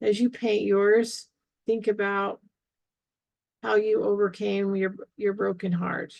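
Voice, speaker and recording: At a very slow pace with long, frequent pauses, a woman speaks at medium pitch with fairly even intonation. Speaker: art therapy instructor. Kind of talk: tutorial. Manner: halting, stumbling over words.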